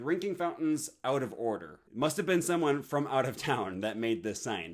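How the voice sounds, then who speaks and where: Fairly high in pitch, a man's voice comes through on a very clean recording with total background silence. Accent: American. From Wisconsin, USA. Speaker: linguistics student, language learner. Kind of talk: casual talk to camera.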